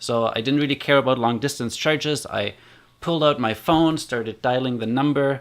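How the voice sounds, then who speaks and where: With a German accent, a man speaks at a fairly quick pace and with fairly even intonation. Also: medium pitch for a man, very clean recording, silent background. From Germany. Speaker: community builder and online course creator. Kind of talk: personal storytelling vlog. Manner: casual, conversational with fillers.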